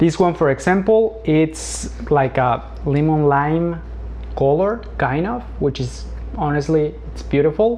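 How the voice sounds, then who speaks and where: A man with a Spanish accent over noticeable background noise. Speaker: plant hobbyist youtuber. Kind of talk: tutorial. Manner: halting.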